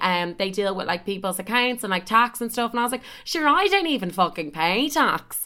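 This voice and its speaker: A woman with an Irish accent, very fast and animated, bright and sharp in tone, on a very clean recording with a silent background. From Ireland. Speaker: podcaster. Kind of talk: casual chat.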